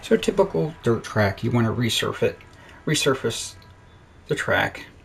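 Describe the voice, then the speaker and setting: A man mumbles with an American accent. His pace is fairly slow. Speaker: gaming video creator. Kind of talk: casual gameplay commentary. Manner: mumbling.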